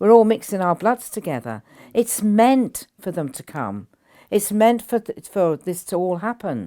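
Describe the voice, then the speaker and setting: Lively British-accented speech with a dark, mellow tone and big swings in loudness on a very clean recording with a silent background. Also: woman, medium pitch for a woman. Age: 80s+. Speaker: spiritual teacher. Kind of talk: interview. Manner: halting.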